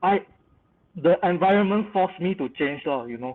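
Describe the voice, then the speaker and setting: A man with a Malaysian accent speaks with ordinary pitch variation. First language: not English. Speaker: creative industry professional panelist. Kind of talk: panel webinar discussion.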